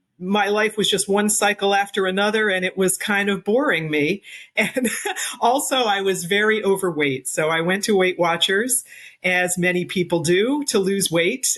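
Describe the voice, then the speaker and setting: The speaker has an ordinary speaking voice and talks at a moderate pace. Pitch varies in an ordinary way while loudness stays very even. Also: woman, medium pitch for a woman. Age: 60s. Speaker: amateur runner, cancer survivor. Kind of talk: interview.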